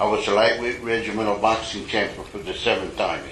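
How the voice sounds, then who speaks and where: A man speaks at a medium pitch and moderate pace with monotone, flat intonation. Noticeable background noise and audible room echo fill the recording. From US Southwest, Mexican-American barrio. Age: 70s. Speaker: recovery meeting speaker. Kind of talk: testimony. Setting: stage with audience. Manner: casual, profane storytelling.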